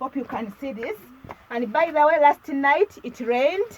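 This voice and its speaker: A woman with a Ugandan accent speaks at a high pitch amid noticeable background noise. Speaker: lifestyle vlogger. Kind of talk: video tour. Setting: village kitchen. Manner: casual, repetitive.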